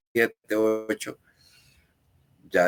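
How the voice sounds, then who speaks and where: Recorded with a dry, close sound and no echo, a man speaks with a Costa Rican accent. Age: 80s+. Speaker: human rights activist. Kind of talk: interview conversation. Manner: halting, with fillers.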